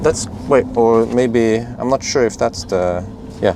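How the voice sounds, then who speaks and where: A man of medium pitch speaks with a Norwegian accent amid noticeable background noise. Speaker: EV video creator. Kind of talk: casual vlog commentary. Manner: halting, many fillers.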